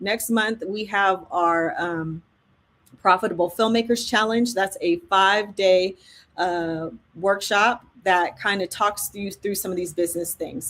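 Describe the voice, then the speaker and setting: Recorded very cleanly against a silent background, a woman talks at a fairly slow pace in a normal speaking voice at a medium pitch. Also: fairly even intonation. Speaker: filmmaking educator and live event host. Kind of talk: sales pitch. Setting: livestream.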